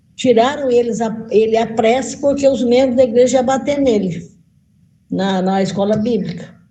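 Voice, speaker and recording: With an audible room echo, a woman speaks at a moderate pace. Her fairly high pitch has a dark, mellow tone and ordinary variation. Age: 60s. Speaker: veteran missionary. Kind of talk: encouraging testimony in a group discussion.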